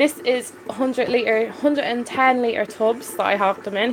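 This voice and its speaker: A woman speaks in a Dublin accent at a moderate pace with fairly even intonation. Noticeable background noise runs behind her. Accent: Dublin Irish. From Ireland. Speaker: aquarium hobbyist live streamer. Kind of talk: live stream chat. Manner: casual, hesitant with fillers.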